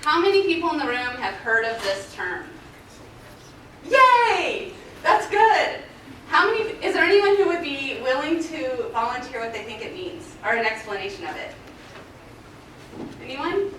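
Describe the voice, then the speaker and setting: A woman's raised, projected voice at an extremely high pitch, with very wide pitch swings, big swings in loudness, a moderate pace, and long, frequent pauses, amid noticeable background noise and audible room echo. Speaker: forensic scientist. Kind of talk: conference presentation. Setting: stage with audience. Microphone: muffled if too close to the mic.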